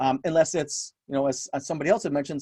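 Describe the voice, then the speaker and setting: Very fast and fairly high for a man, his voice comes through dry and close with no echo. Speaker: business coach running a webinar. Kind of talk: webinar presentation. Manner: casual, conversational.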